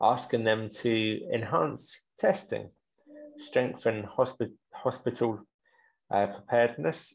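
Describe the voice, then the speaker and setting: A man speaks at a very slow pace in a medium pitch, leaving long, frequent pauses. His pitch varies in an ordinary way. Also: very even loudness. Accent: British. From England. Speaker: English teacher. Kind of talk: newspaper read-aloud.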